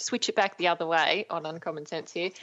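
The speaker is a woman with an Australian accent. Her pace is moderate. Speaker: radio host. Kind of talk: radio interview.

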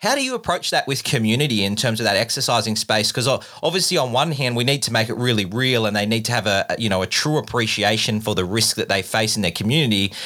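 A man talks at a very fast pace with an Australian accent and a medium pitch. His tone is bright and sharp, his loudness very even. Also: ordinary pitch variation. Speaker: podcast host. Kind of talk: interview.

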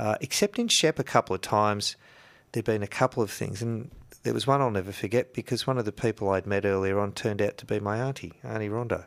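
Very fast and fairly low-pitched, a man talks with ordinary pitch variation in a dry, close recording with no echo, very clean with a silent background. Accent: Australian. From north-east Victoria, Australia. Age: 50s. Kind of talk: radio interview. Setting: radio studio.

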